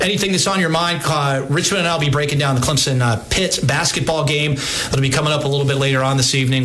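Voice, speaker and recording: Noticeable background noise sits behind a man's voice. His pitch is fairly high, with ordinary variation. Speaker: sports radio host. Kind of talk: sports talk radio. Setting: radio studio.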